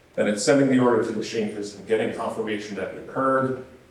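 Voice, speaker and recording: The pace is very fast. Audible room echo and noticeable background noise fill the recording. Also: man. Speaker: conference speaker, software engineer. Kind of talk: technical conference talk. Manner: casual, filler-heavy.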